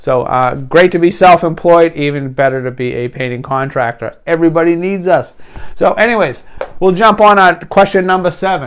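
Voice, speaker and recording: Over noticeable background noise, a man with a New England accent speaks at a moderate pace in a high pitch with lively intonation. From New England, US. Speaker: business coach and painting contractor. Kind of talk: tutorial. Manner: casual, hesitant with many fillers.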